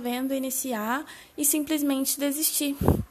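Over noticeable background noise, a high-pitched woman speaks with fairly even intonation. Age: 20s. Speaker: digital marketer. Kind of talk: solo podcast monologue. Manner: casual, with many filler words.

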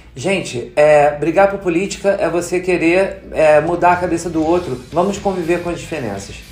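The man's voice is high-pitched, moving at a moderate pace with hardly any pauses. His intonation is fairly even, and noticeable background noise is present. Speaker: podcast co-host. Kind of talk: casual chat.

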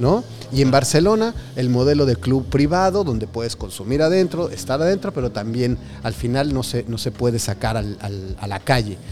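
Against noticeable background noise, a man at medium pitch talks at a moderate pace with very wide pitch swings. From Mexico. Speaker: podcast host. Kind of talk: interview. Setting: on location with guests.

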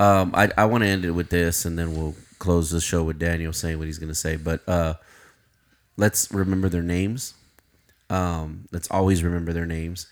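Speaking in an American accent, a man with a very deep, low pitch keeps a moderate pace and a monotone, flat intonation. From Uvalde, Texas. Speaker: podcast co-host. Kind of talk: casual chat.

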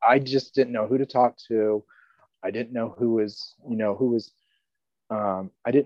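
Speaking with an American accent, a man of medium pitch goes at a fairly slow pace with fairly even intonation and long, frequent pauses. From North Carolina and southeast Kansas. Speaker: church member. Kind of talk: interview, personal testimony. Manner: halting, with many fillers.

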